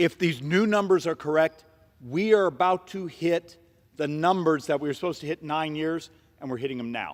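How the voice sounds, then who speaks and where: A man's fairly high voice at a fairly quick pace, with ordinary pitch variation and a dry, close sound with no echo. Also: big swings in loudness. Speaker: congressman. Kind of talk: floor speech. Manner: fast.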